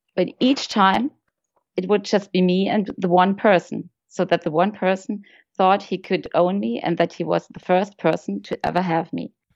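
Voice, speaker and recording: A woman with a German accent speaks at a moderate pace and medium pitch, with vocal fry and ordinary pitch variation. The sound is dry and close with no echo, over a quiet background. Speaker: friend and guest.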